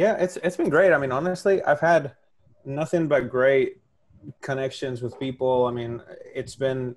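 At a moderate pace, a man with a Spanish accent speaks at a medium pitch with ordinary pitch variation. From Spain. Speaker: hot sauce maker. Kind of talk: casual interview. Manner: halting. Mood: friendly, enthusiastic. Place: home room. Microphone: earbuds.

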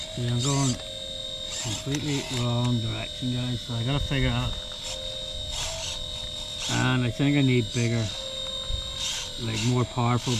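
A woman talks at a moderate pace, stopping often for long pauses. Loud background noise fills the dry recording, which has no echo. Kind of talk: casual vlog chat. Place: garden.

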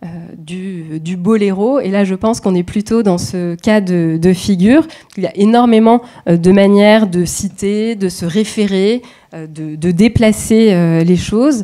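A woman's dark, mellow voice at medium pitch, very slow in pace, against a quiet background. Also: ordinary pitch variation. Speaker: dance researcher. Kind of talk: academic presentation. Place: hall.

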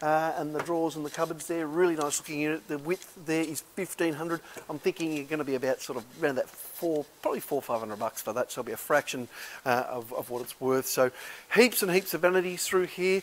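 The man's pitch is fairly high, with ordinary variation. He talks at a fairly quick pace with few pauses.

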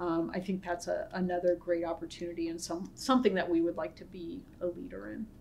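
Over light background noise, a woman with an American accent speaks very fast in a fairly low pitch. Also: ordinary pitch variation. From US Midwest, northwest Ohio. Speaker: pharmacy school dean, scientist. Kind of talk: interview conversation. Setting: Zoom webinar. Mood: warm, positive. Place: office.

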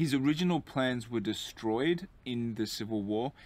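The speaker is a man. He talks at a moderate speed. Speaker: tour guide. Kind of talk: walking tour commentary. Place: street.

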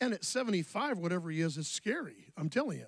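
Against a quiet background, a man speaks at a fairly quick pace in a dry sound with no echo. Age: 60s. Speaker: pastor. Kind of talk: sermon. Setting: church. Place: church. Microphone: handheld.

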